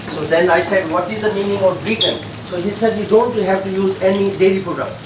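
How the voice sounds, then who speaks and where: Noticeable background noise sits behind a man's speech. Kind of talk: interview answer. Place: kitchen. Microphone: camera far.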